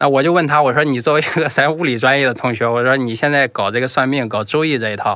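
A man with a bright, sharp tone talks very fast, showing ordinary pitch variation. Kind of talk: casual chat.

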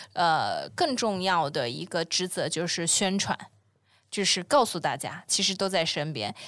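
Vocal fry colors a woman's speech, which moves at a fairly slow pace. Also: very clean recording, silent background. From China, long periods abroad. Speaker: environmental startup founder. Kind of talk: casual interview. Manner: hesitant, many filler sounds.

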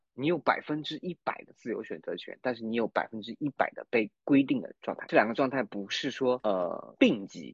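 A man speaks at a moderate pace with hardly any pauses. His loudness swings a lot. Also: dry, close sound with no echo. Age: middle-aged. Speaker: new-energy car marketing manager, former theatre writer. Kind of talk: casual chat. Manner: halting, repeats words.

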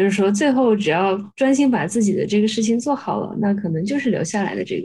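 Racing at a very fast pace with hardly any pauses, a woman speaks at medium pitch in a somewhat breathy, dark, mellow voice with ordinary pitch variation. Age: young. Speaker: podcast host. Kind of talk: interview.

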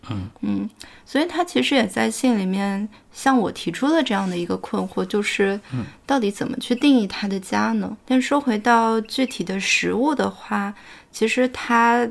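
A woman talks fairly slowly while noticeable noise carries on in the background. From Fuzhou, China. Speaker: podcast host. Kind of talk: casual chat.

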